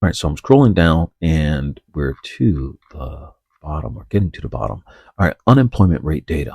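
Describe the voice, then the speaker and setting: A man with a very deep, low pitch and vocal fry speaks at a moderate pace in a dark, mellow tone with lively intonation, with a dry, close sound that has no echo. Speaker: trading educator. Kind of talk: tutorial.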